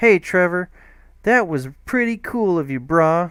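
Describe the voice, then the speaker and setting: In a squeaky, put-on character voice pitched high for a man, he speaks at a fairly slow pace with lively intonation, on a very clean recording with a silent background. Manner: mocking.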